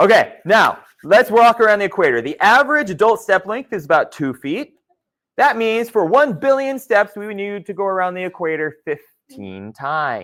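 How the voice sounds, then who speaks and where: This man's high voice makes very wide pitch swings and big swings in loudness at a moderate pace, on a very clean recording with a silent background. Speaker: geology instructor. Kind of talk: lecture.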